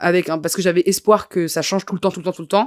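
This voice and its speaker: With no echo, the woman's voice sounds dry and close on a very clean recording over a silent background. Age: 20s. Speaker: comedian and journalist. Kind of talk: podcast interview. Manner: halting.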